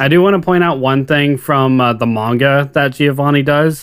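Talking at a moderate pace, a man with a fairly high pitch uses a normal speaking voice with ordinary pitch variation. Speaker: podcast co-host. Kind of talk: casual chat.

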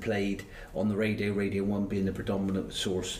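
A man's fairly low, somewhat breathy voice at a fairly quick pace, with audible room echo. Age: 60s. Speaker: retired footballer. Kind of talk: casual interview. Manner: halting.

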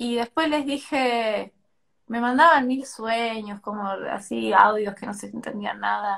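A woman's fairly high voice at a very slow pace. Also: ordinary pitch variation, big swings in loudness. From Tucumán, Argentina. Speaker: poet and creative writing teacher. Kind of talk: casual interview chat. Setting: Instagram live stream.

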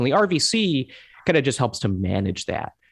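A man with an American accent. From Hong Kong (American expatriate family). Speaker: political volunteer organizer. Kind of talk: interview. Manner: halting, with many fillers and repetitions.

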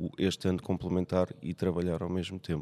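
A man's very deep, low voice in a dark, mellow tone at a moderate pace, with a very clean recording, a silent background and a dry, close sound with no echo. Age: 40s. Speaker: nurse. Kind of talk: casual chat. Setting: gym.

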